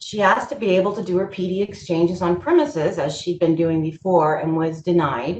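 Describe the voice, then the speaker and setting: The woman's pitch is fairly low, with ordinary pitch variation. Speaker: presenter on kidney patient employment. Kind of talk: webinar presentation. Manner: fast.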